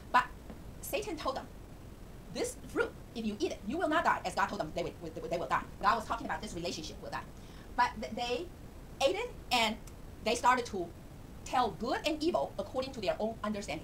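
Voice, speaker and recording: With a Chinese accent, a woman speaks fairly quickly in a high pitch, her pitch swinging very widely, with long, frequent pauses and noticeable background noise. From Taiwan. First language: Mandarin Chinese. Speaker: Bible teacher. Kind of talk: informal Bible lesson. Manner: halting, with frequent fillers.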